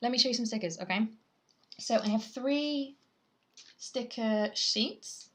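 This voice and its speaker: Speaking very slowly, a woman with a British accent sounds somewhat breathy and uses ordinary pitch variation. The background is quiet. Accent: British (UK). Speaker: artist livestreamer. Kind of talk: casual livestream chat. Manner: chatty, rambling with fillers.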